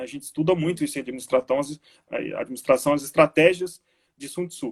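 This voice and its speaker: In an unremarkable speaking voice, a man with a fairly high pitch talks at a fairly quick pace and fairly even intonation, the sound dry and close with no echo. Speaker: teacher. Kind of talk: online lecture. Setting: live stream.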